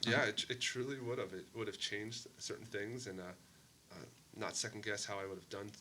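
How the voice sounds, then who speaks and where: An unremarkable speaking voice from a man, medium in pitch, fairly even in intonation, at a moderate pace. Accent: American. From Maine, US Northeast. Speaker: mayor and former police officer. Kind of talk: podcast interview. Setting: sit-down interview.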